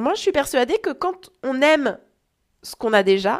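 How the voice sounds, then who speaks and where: A woman with a high voice speaks at a moderate pace, her pitch swinging very widely. The recording is very clean, with a silent background. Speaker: wellness coach and podcast host. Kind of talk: solo wellness podcast talk.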